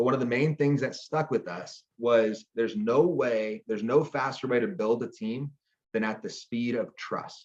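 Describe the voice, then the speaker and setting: This man speaks at a medium pitch in an animated tone, with ordinary pitch variation. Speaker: network marketing team leader. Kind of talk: training talk. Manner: fast.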